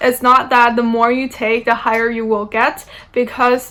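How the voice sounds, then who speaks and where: Bright and sharp in tone, a woman with a non-native accent speaks at a high pitch with monotone, flat intonation. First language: not English. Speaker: university student. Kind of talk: informational talk. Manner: hesitant, many fillers.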